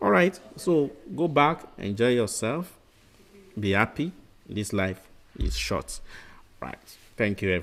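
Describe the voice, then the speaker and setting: Pausing long and often, a man talks at a fairly slow pace in a medium pitch, his voice showing vocal fry and very wide pitch swings. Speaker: medical exam tutor. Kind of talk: lecture. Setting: webinar.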